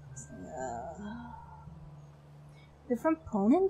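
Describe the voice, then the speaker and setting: With music in the background, a woman talks in a European accent. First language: a European language, not English. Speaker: streamer. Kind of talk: casual chat. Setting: livestream. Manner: unusual way of speaking.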